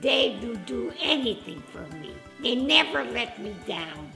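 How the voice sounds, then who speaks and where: Over music in the background, a woman at medium pitch talks at a very slow pace with very wide pitch swings. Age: 80s+. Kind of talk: interview answer.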